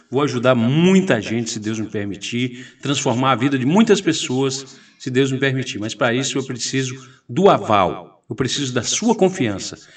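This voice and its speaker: Speaking at a moderate pace, a man with an unremarkable speaking voice uses lively intonation at a medium pitch. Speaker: radio host and political candidate. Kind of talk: interview, campaign appeal.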